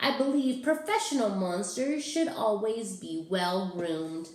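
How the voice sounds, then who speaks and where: A female-sounding voice performs a put-on character voice with a slight echo. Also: fairly high pitch for a woman, moderate pace. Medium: read story. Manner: refined, polite.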